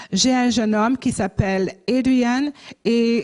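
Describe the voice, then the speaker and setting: A woman speaks with fairly even intonation. The background is quiet. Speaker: missionary and pastor. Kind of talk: church mission presentation. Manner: halting, many hesitations.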